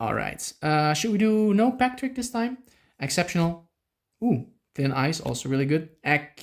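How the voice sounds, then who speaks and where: Someone speaks at a moderate pace with a Dutch accent on a very clean recording with a silent background. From Netherlands. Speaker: YouTuber opening trading card packs. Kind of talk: casual unboxing commentary. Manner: animated, filler-heavy.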